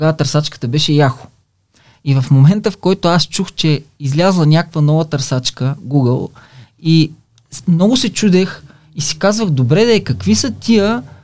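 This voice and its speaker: A man talks at a moderate pace in a fairly high pitch. His intonation is lively. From Bulgaria, Silistra. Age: 50s. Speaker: online business entrepreneur. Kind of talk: casual interview. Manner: halting, frequent fillers.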